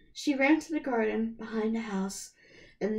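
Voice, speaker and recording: This woman's voice is fairly high in pitch. It sounds somewhat breathy. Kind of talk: storybook read-aloud. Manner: some stumbling and fumbling.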